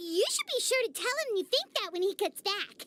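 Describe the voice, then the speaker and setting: A squeaky, put-on character voice speaks at an extremely high pitch and a moderate pace. Music plays in the background. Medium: video game. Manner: casual, breezy.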